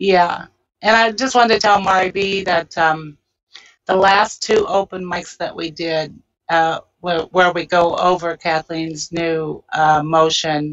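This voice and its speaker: A woman with a fairly low voice, fairly even intonation and a very slow pace. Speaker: panel member. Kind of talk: casual panel discussion. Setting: video call. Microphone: video call.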